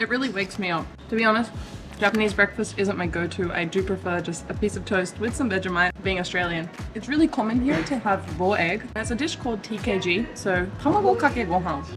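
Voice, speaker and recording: Fairly quick pace from a woman, clear music playing behind her. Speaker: food vlogger. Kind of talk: casual vlog chat. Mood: cheerful, upbeat. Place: cafe. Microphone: phone near.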